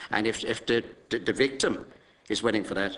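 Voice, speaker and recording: A man with an Irish accent has a bright, sharp tone and a fairly low pitch with ordinary variation. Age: 50s. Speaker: politician. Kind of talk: committee testimony. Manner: halting.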